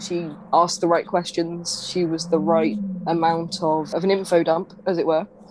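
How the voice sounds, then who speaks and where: Amid noticeable background noise, a woman talks at a moderate pace in a fairly low pitch. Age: 20s. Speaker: podcast co-host. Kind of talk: casual chat.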